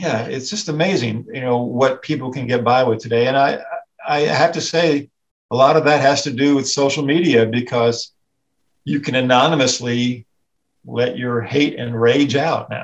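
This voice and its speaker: A man with an American accent talks at a medium pitch and a moderate pace with ordinary pitch variation over a quiet background. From US South. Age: 60s. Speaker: editorial cartoonist; guest. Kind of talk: casual chat. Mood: relaxed, reflective. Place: home room. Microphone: video call.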